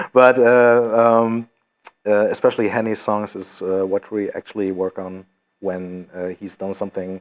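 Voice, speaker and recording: At a moderate pace, a man with a fairly low pitch speaks with fairly even intonation and big swings in loudness. The very clean recording has a silent background and a dry, close sound with no echo. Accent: German. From Germany. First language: German. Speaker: metal band singer. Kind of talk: casual interview. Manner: hesitant, many fillers.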